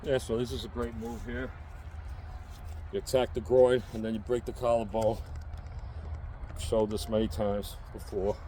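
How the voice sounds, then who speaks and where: A man with a New York accent speaks at a fairly low pitch in a dark, mellow tone with vocal fry. His pitch variation is ordinary, and his pauses are long and frequent. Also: moderate pace. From New York City. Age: 60s. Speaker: self-defense instructor and prepper vlogger. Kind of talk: unscripted tutorial. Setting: outdoors. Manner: casual, emphatic.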